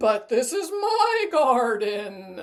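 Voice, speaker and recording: A put-on character voice, fairly high in pitch, with very wide swings up and down. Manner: imitation of a heard voice.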